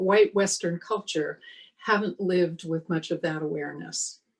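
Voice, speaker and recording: At a fairly slow pace, a woman talks in an ordinary speaking voice with ordinary pitch variation. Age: 60s. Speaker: minister. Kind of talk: sermon.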